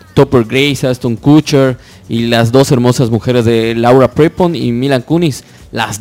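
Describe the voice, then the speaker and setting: Music plays in the background as a man speaks. His medium pitch has ordinary variation, and his pace is fairly slow. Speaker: internet radio co-host. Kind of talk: casual chat.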